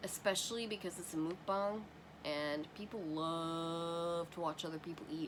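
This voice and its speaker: Over noticeable background noise, a woman speaks in a fairly low pitch with ordinary pitch variation. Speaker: vlogger. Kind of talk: casual chat.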